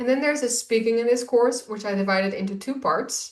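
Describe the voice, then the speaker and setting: Speaking at a fairly quick pace, a woman talks in a Dutch accent. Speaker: Dutch language teacher. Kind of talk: course introduction. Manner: enthusiastic.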